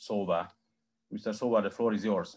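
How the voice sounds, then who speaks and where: Against a quiet background, a man with a Hungarian accent speaks in a fairly low voice with fairly even intonation. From Hungary. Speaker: researcher, panel moderator; panel moderator. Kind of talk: moderating online panel. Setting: video call. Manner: halting. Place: home room. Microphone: video call.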